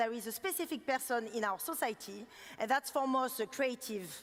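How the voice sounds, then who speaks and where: This woman has a strong French accent. Her voice is high-pitched. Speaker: designer giving keynote. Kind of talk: keynote talk. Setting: stage with audience. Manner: fast; animated.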